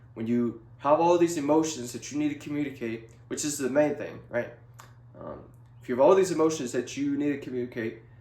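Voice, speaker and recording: Talking at a fairly quick pace, a man with a fairly high pitch makes big swings in loudness. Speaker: video blogger. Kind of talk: casual monologue to camera. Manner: monotone; halting, many fillers.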